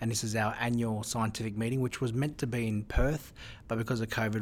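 A man speaks in an Australian accent at a medium pitch. His intonation is monotone and flat. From Australia, Newcastle NSW area. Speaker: surgeon. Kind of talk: interview conversation. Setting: in person in Melbourne.

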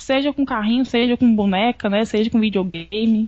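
A woman speaks at a moderate pace with fairly even intonation and a fairly high pitch. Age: 20s. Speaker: journalist. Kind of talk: interview. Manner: halting, repeats words.

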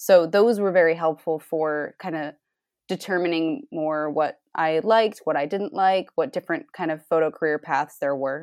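This woman has a normal speaking voice with a fairly low pitch and an American accent. Her background is quiet. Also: ordinary pitch variation, moderate pace. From US Northeast, Rhode Island. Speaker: photographer. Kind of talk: interview.

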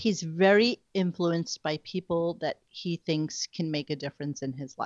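A woman with an American accent has an unremarkable speaking voice, a fairly low pitch and ordinary pitch variation. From New York. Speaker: radio news website owner. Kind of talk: casual chat.

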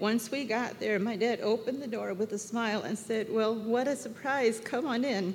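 A woman with an unremarkable speaking voice, fairly high pitch, fairly even intonation and a moderate pace. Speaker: church member. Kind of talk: testimony. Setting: church service with congregation.

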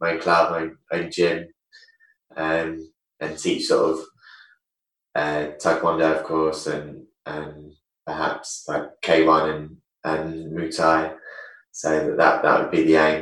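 With an English accent, a man speaks at a fairly slow pace in a very deep, low pitch. His speech has long, frequent pauses. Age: 30s. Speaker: retired taekwondo champion. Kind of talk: casual interview chat. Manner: halting.

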